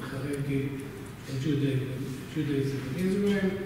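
A man talks at a very slow pace. Strong room echo and noticeable background noise are heard. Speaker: conference panelist. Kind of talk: lecture. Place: hall. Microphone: camera far.

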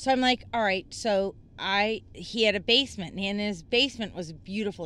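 Using a normal speaking voice, a woman talks at a moderate pace and medium pitch with ordinary pitch variation. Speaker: writer. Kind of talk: casual chat.

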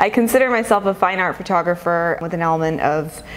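A woman with an American accent, a normal speaking voice, fairly low pitch and ordinary pitch variation. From Southern California, Los Angeles. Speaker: photographer. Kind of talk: interview.

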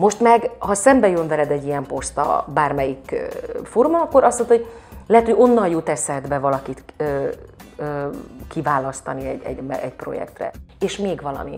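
Faint music plays in the background as a woman speaks with big swings in loudness. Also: fairly quick pace. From Hungary. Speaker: actress, singer and dubbing voice actor. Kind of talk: interview answer. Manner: casual, conversational. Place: home room. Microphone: lapel.

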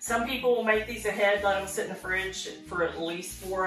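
Clear music plays in the background as a woman talks, with audible room echo around her voice. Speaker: channel host. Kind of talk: cooking tutorial. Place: home room.

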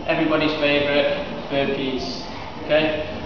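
Recorded with strong room echo and noticeable background noise, a man speaks at a fairly high pitch. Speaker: fitness instructor. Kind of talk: guided workout demonstration with spoken exercise cues. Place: gym. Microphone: camera far.

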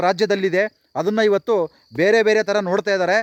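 In a dry, close recording with no echo, a man speaks in a high pitch with fairly even intonation. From Karnataka, Vijayanagara district village near Kotturu. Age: 40s. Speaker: village video blogger. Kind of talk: vlog complaint to officials. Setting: outdoors on village road. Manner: pleading.

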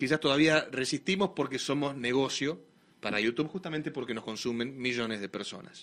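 A man speaks with a Rioplatense accent at a fairly quick pace. His pitch is fairly high, with ordinary variation. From Argentina. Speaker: radio host. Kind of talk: live radio talk show. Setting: radio studio, streamed live. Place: studio.

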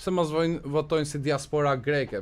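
This man talks at a moderate pace in a fairly high voice. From Albania, Korçë; Albania. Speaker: Albanian emigrant commentator in US media. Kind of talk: radio interview. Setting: radio studio. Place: studio. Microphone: studio mic.

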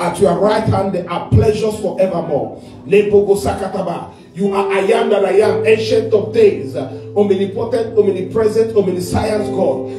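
A man talks at a fairly slow pace with a high pitch and ordinary pitch variation. Clear music plays in the background, and room echo is audible. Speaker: preacher leading prayer. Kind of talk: sermon prayer. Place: church.

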